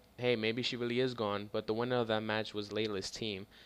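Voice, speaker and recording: Delivered at a fairly quick pace with monotone, flat intonation, the speech sits in a very clean recording with a silent background. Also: man. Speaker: wrestling video reviewer. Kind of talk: casual video review monologue. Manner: halting, stuttering.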